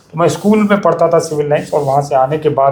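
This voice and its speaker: A man speaks at a fairly high pitch. Noticeable background noise can be heard behind him. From Delhi, India. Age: 60s. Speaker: bird conservationist, nest maker. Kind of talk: interview. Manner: hesitant fillers.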